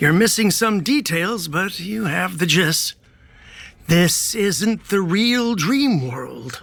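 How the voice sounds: In a put-on character voice, a man speaks slowly at a high pitch, with a fairly bright tone, vocal fry and lively intonation.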